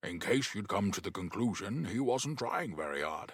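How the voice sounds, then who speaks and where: A man uses a put-on character voice with lively intonation. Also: fairly low pitch for a man, moderate pace. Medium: read story. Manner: blunt, clipped.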